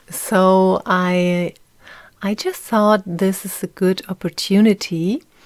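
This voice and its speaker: A German accent on a very clean recording with a silent background. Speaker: podcast host. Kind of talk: personal monologue. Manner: halting.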